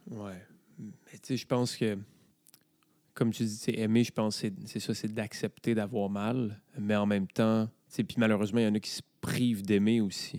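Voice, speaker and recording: A man with a Quebec accent talks in a dark, mellow tone. His intonation stays monotone and flat, broken by long, frequent pauses. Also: fairly low pitch for a man, moderate pace. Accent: Québécois French. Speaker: podcast host. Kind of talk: casual chat.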